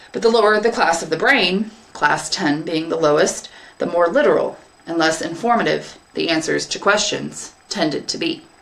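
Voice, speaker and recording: Against noticeable background noise, the speaker moves at a moderate pace with lively intonation. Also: woman, fairly low pitch for a woman. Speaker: English teacher. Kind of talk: third-person narration in story reading.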